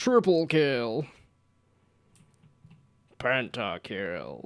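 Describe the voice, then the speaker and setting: A booming put-on character voice at a low-to-middle pitch comes through on a very clean recording with a silent background. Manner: hyped, exaggerated, booming.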